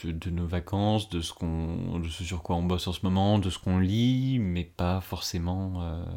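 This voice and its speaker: In a very clean recording with a silent background, a man with a very deep, low pitch and a dark, mellow tone speaks at a fairly slow pace with fairly even intonation and hardly any pauses. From northeastern France, Ardennes. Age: 20s. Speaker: civil servant. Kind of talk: casual interview. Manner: halting.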